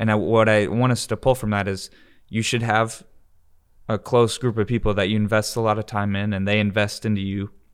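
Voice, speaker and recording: A man at a fairly low pitch and fairly quick pace, monotone and flat in intonation, in a very clean recording with a silent background. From Michigan, moved to the US South at twelve. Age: 20s. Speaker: podcast host. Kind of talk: casual chat. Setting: studio-like room.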